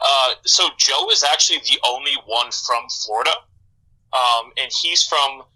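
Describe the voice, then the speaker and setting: The pace is fairly slow. A man speaks with a slight Midwestern accent. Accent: slight Midwestern way of pronouncing words. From US Midwest, Michigan. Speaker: rock band bassist. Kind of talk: casual podcast interview.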